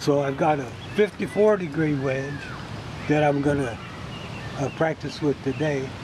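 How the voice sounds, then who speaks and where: Noticeable background noise runs behind a man speaking at a fairly high pitch with ordinary pitch variation. His pace is moderate, with long, frequent pauses. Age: 90s. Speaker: volunteer golf course caretaker. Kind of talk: documentary interview.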